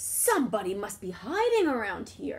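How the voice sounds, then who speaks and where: A woman in a put-on character voice, growling at a fairly high pitch and moderate pace. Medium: read story.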